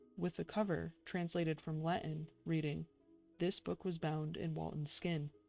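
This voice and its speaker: Soft-spoken, monotone delivery with flat intonation over music in the background. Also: woman, very deep, low pitch for a woman, moderate pace. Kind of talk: ASMR soft-spoken reading.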